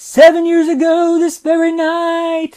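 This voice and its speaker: Putting on a character voice, a man speaks squeaky and extremely high, with monotone, flat intonation at a fairly slow pace. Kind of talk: ghost story drama. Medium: solo performance. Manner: solemn, deliberate.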